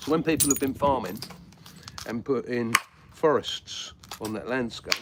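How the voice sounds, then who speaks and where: With noticeable background noise behind him, a man with a southeast English accent speaks at a moderate pace and medium pitch, taking long, frequent pauses. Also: ordinary pitch variation. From southeast England. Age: 50s. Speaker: flintknapper and prehistoric skills teacher. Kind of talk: live-stream tutorial with chat replies. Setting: live stream. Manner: casual, hesitant with many fillers.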